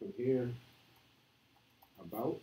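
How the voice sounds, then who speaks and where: An American accent is heard at a fairly slow pace with ordinary pitch variation. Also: man. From New York. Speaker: meetup presenter, programmer. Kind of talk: live coding talk. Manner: halting, many fillers.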